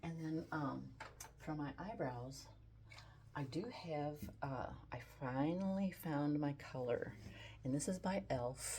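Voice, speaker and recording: Very deep and low in pitch, a woman speaks in a dark, mellow tone that is somewhat breathy. Her pace is very slow with long, frequent pauses, and her pitch variation is ordinary. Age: 70s. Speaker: beauty and style vlogger. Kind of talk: makeup tutorial. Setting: home photography studio. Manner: casual, relaxed.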